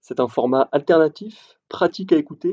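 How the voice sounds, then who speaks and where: At a moderate pace, a man talks in a dry, close sound with no echo. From southern France, Montpellier. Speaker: podcast host, role-playing game blogger. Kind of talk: solo podcast monologue.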